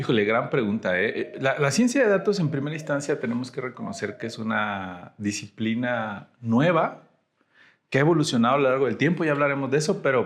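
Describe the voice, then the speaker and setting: With lively intonation and a fairly quick pace, this man talks in an ordinary speaking voice. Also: fairly high pitch for a man. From Mexico, Tamaulipas (Ciudad Mante). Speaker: data scientist. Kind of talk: podcast interview.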